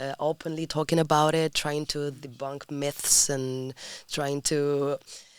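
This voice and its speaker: In a Spanish accent, a woman with a very deep, low voice speaks fairly slowly, her intonation flat and monotone. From Spain, Madrid. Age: 20s. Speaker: sexology student. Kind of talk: podcast interview. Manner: halting.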